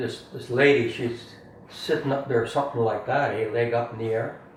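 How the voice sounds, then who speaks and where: Over noticeable background noise, a man of medium pitch talks at a moderate pace. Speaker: storyteller. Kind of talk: casual family conversation, telling anecdotes. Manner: humorous, enthusiastic.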